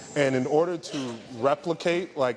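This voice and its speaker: A man with fairly even intonation over background music. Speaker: entrepreneur and investment speaker. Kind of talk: casual talk to a live audience. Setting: event room with small audience. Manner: casual, many fillers.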